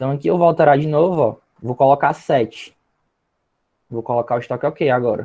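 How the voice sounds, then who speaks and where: At a fairly quick pace broken by long, frequent pauses, a man talks with a dark, mellow tone, a fairly high pitch, and ordinary pitch variation. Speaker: minicourse instructor. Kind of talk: tutorial.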